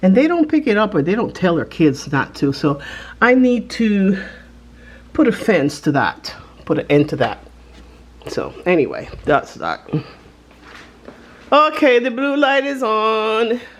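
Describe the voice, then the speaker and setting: A woman's fairly high voice with a non-native accent, very wide pitch swings, a fairly slow pace and long, frequent pauses, over noticeable background noise. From Panama. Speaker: lifestyle vlogger. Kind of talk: casual vlog chat. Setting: home, filming on camera. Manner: chatty, informal.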